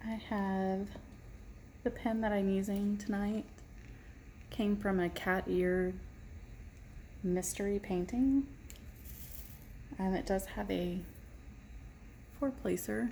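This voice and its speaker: At a very slow pace with long, frequent pauses, a woman of medium pitch speaks with a dark, mellow, somewhat breathy tone, fairly even intonation, and very even loudness. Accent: American. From Texas, Irving. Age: 40s. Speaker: diamond painting vlogger. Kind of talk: casual chat.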